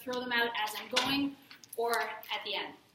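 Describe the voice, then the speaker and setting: A woman speaks over noticeable background noise. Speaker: fitness magazine editor and former personal trainer. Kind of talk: guest talk to a class. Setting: classroom with audience. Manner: fast.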